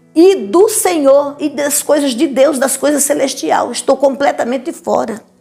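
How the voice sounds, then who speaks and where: A woman talks in a high voice at a fairly slow pace. Music plays in the background. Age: 70s. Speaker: church preacher giving testimony. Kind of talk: testimony. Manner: animated.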